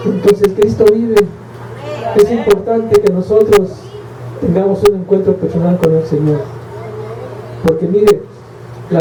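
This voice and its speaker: The speaker goes at a fairly slow pace with ordinary pitch variation, amid noticeable background noise and audible room echo. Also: man. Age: 60s. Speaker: preacher. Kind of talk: sermon. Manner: slightly halting, impaired speech.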